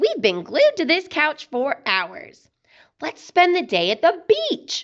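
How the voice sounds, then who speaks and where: A female-sounding, put-on character voice at an extremely high pitch speaks at a fairly slow pace over a quiet background. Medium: read story.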